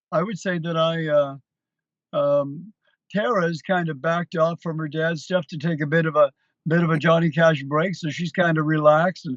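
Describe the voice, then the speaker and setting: Here is a man with a plain, everyday voice and fairly high pitch. His intonation is fairly even and his pace moderate. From Canada, Hamilton, Ontario. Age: 60s. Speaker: country musician, tribute performer. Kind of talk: interview. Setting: TV studio.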